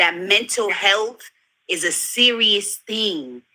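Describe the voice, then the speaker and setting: A woman speaks in a New York accent. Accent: New York American. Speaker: panelist in group discussion. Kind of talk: heated debate.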